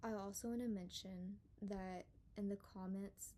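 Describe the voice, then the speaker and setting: At a moderate pace, a woman speaks in a medium pitch with a somewhat breathy, dark and mellow tone and fairly even intonation. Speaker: paranormal story channel host. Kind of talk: casual monologue intro. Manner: reading from notes.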